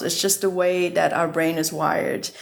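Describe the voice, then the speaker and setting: With audible room echo, a woman speaks in a Vietnamese accent. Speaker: surgeon and health tech founder. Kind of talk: interview.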